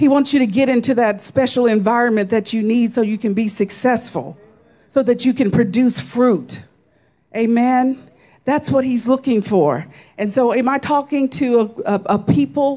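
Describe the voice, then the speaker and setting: Against a quiet background, a woman talks at a moderate pace in a dark, mellow tone with ordinary pitch variation. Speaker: preacher. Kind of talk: sermon. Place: church. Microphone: handheld.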